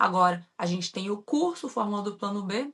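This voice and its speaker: A woman speaks in a strong Minas Gerais accent at a medium pitch. Her tone is bright and sharp. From Brazil, Minas Gerais. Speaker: entrepreneur, former mechanical engineer, online course creator. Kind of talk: podcast interview.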